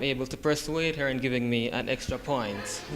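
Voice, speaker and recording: At a moderate pace, a man with a medium pitch talks with fairly even intonation. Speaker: college student. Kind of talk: class speech. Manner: halting.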